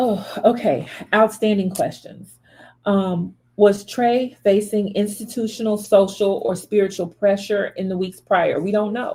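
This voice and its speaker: The voice has a dark, mellow tone, is somewhat breathy, and moves at a fairly slow pace. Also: woman, medium pitch for a woman. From US South, Memphis, Tennessee. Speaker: spiritual reader and channel host. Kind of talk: commentary monologue on a death case. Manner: animated.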